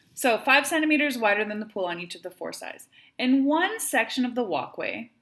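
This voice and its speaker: Speaking with a Wisconsin accent at a fairly quick pace, the voice has lively intonation and big swings in loudness. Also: woman, high pitch for a woman. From Wisconsin, US. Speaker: math teacher. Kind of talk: tutorial.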